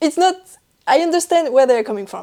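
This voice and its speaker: A woman talks with a French accent. Her tone is dark and mellow, with lively intonation. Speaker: knitting podcaster. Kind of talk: casual chat. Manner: talks while laughing.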